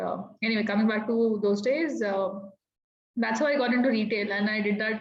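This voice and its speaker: A woman with fairly even intonation and audible room echo. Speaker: sales executive. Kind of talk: panel talk. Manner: fast; talkative.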